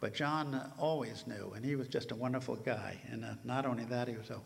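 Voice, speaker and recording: Vocal fry runs through a man's voice at a medium pitch with ordinary pitch variation. Audible room echo fills the recording. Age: 80s+. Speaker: helicopter museum representative. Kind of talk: conference talk. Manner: halting, many fillers.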